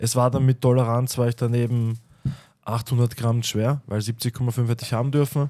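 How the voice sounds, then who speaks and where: Over a quiet background, a man talks in a dark, mellow tone. His intonation is monotone and flat. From Lower Austria. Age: 30s. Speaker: MMA fighter; podcast guest. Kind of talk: casual chat. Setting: studio. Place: studio. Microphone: studio mic.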